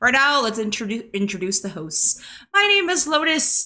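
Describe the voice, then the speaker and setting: Using a raised, projected voice, a woman speaks at a moderate pace with very wide pitch swings. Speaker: VTuber podcast co-host. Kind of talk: casual chat. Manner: stutters; animated.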